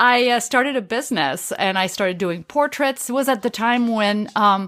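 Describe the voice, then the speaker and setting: A woman speaks in a passionate tone at a fairly high pitch. Her pitch varies in an ordinary way. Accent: French. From France. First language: French. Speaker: street photographer. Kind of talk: interview.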